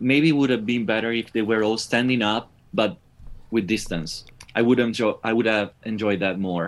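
A man with an Italian accent, at a moderate pace. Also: medium pitch for a man, ordinary pitch variation. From northeast Italy. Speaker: rock musician. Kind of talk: interview. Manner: halting.

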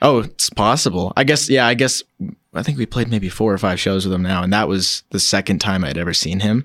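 Here a man with lively intonation has a normal speaking voice. The recording is very clean and dry, close with no echo and a silent background. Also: fairly low pitch for a man, fairly quick pace. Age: 20s. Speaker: local musician, guitarist. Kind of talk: casual interview.

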